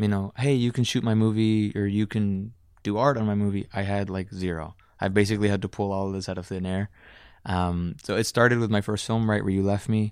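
A man with an American accent and an unremarkable speaking voice, fairly low in pitch, fairly quick in pace and fairly even in intonation, in a very clean recording with a silent background. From Dallas, Texas. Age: 20s. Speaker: filmmaker. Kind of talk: casual interview chat. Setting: studio.

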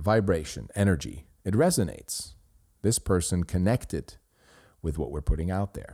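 A dark, mellow voice with a Swiss German accent. The intonation is lively. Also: man. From Switzerland. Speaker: podcast host. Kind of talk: solo commentary. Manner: halting.

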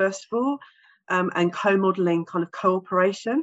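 A medium-pitched woman with an English accent at a moderate pace. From England. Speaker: specialist teacher and therapist, author. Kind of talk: interview.

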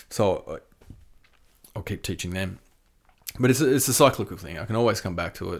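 With an Australian accent, a man speaks with lively intonation, big swings in loudness, and long, frequent pauses. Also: fairly low pitch for a man, fairly quick pace. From Tasmania, Australia. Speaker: death metal drummer and touring company owner. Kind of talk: casual interview chat.

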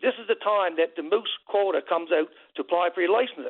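A man speaks at a fairly quick pace. His pitch is high for a man. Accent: Newfoundland. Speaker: caller, hunter. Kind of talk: radio call-in. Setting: phone call.

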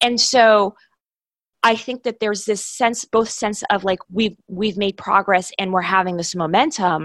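A woman speaks in a normal speaking voice at medium pitch, with an American accent and ordinary pitch variation. Her pace is fairly slow, and the sound is dry and close with no echo. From New York, Brooklyn. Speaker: foreign policy organization CEO. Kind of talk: interview.

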